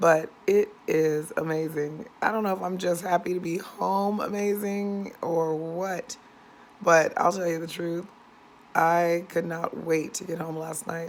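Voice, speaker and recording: Over noticeable background noise, a woman with an American accent talks fairly slowly at a fairly low pitch. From San Diego, California. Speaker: vlogger. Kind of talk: casual vlog. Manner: chatty, rambling with fillers.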